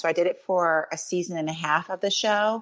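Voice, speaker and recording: Against a quiet background, a woman with an American accent speaks in a normal speaking voice at a fairly low pitch, with ordinary pitch variation. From New York. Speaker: former teacher and mom, TV personality. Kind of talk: casual chat.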